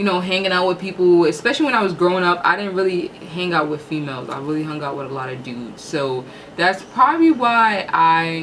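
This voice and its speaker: A woman with a fairly low pitch talks at a fairly quick pace in an animated tone with lively intonation. Her loudness swings widely, and there is noticeable background noise. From New York (Harlem). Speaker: YouTube host. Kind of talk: casual chat.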